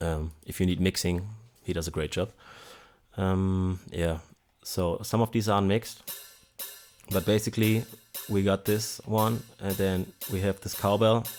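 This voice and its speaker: The speaker keeps a fairly even intonation and takes long, frequent pauses. Music plays in the background. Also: man, fairly low pitch for a man, fairly slow pace. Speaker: music producer. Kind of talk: tutorial. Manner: hesitant.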